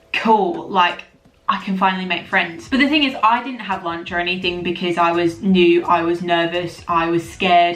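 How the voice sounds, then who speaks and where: Noticeable background noise surrounds this recording. A woman speaks at a moderate pace in a fairly low pitch. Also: ordinary pitch variation. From England. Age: 20s. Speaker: content creator. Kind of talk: casual vlog chat. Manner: animated.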